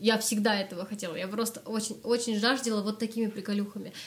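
A woman's somewhat breathy, fairly high-pitched voice at a fairly quick pace. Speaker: singer and music school founder, vocal coach. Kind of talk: casual interview chat.

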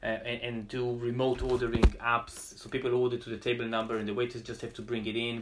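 Very fast and with hardly any pauses, a man speaks at a medium pitch in a monotone, flat delivery. Background noise is noticeable. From Israel. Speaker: restaurateur. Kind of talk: casual interview. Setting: remote call from home.

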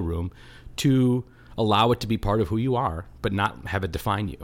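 A man with an ordinary speaking voice and a fairly low pitch shows ordinary pitch variation in a very clean recording with a silent background. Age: 40s. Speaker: local politician. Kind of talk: casual chat.

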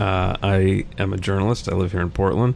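A man speaks with an American accent in a very deep, low pitch. His pitch varies in an ordinary way. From small-town US. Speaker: journalist and author. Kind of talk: casual chat.

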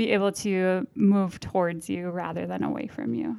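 Speaking at a fairly slow pace in an American accent, a woman has a medium pitch and a dark, mellow tone. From northern Minnesota, US. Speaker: religious sister. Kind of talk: casual chat.

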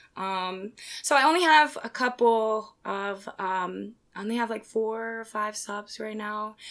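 A woman with a fairly high pitch and an ordinary speaking voice, at a fairly slow pace, with ordinary pitch variation and big swings in loudness. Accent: American. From Pennsylvania (Philadelphia suburbs). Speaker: pole dancer. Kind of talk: casual chat.

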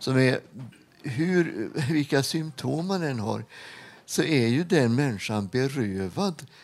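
A man speaks at medium pitch and a very slow pace. His pitch swings very widely. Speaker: retired hospital chaplain. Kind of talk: interview. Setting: studio with live audience.

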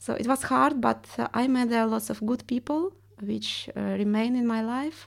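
Recorded very cleanly against a silent background, a woman with a Russian accent speaks at a moderate pace. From Estonia (ethnic Russian). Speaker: artist and art teacher. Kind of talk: interview.

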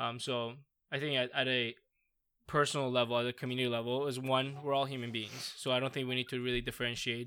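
A man with an Iranian accent speaks very fast in a flat monotone at medium pitch. His tone is bright and sharp, and the recording is very clean with a silent background. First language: Farsi. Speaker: PhD researcher in parasport. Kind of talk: casual chat.

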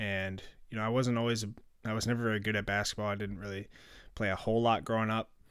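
A man talks very fast in a monotone, flat delivery with an Upper Midwest accent. The recording is very clean with a silent background. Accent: Upper Midwest American. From Minnesota, Plymouth. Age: 20s. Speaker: sports podcast host. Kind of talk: casual solo podcast talk. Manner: hesitant, many fillers.

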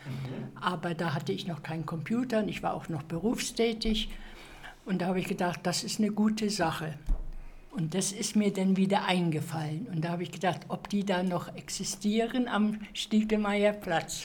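A woman speaks at a moderate pace with medium pitch and ordinary pitch variation, with audible room echo around her. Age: 80s+. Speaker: retiree, computer course participant. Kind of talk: interview.

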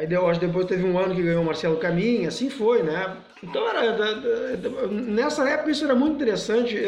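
A man talks at a fairly quick pace and high pitch with lively intonation. Audible room echo and noticeable background noise fill the recording. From southern Brazil, Rio Grande do Sul. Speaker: guitarist and music teacher. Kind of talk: interview. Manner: halting, with many repeated words.

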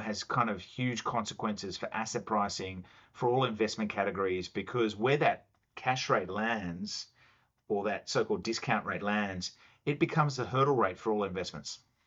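A man speaks with an Australian accent at a moderate pace. His pitch is medium, with ordinary pitch variation. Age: 40s. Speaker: chief investment officer. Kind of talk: casual interview.

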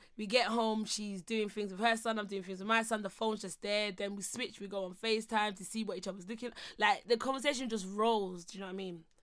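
A woman with a husky, fairly bright tone speaks in fairly even intonation with few pauses. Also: medium pitch for a woman, fairly quick pace.

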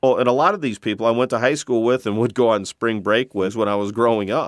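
In a normal speaking voice at medium pitch, a man with an American accent is heard in a very clean recording with a silent background and a dry, close sound with no echo. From Flint, Michigan. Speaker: former payday lender. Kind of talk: interview.

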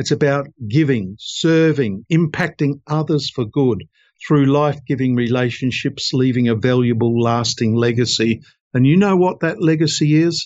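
Delivered at a moderate pace with ordinary pitch variation, this is an ordinary speaking voice. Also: man, fairly high pitch for a man. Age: 60s. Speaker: lawyer and author. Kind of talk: interview.

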